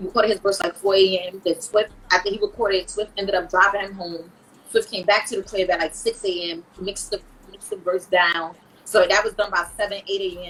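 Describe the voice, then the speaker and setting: Speaking fairly quickly in a New York accent, a woman uses a monotone, flat intonation at a medium pitch, with big swings in loudness. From New York, Brooklyn (Brownsville). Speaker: rapper. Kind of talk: casual interview chat.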